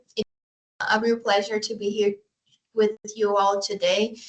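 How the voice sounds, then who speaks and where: A woman speaks with a Brazilian accent at a moderate pace. Her pitch sits in the medium range. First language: Portuguese. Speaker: oceanographer and NGO waste management specialist. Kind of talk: conference presentation.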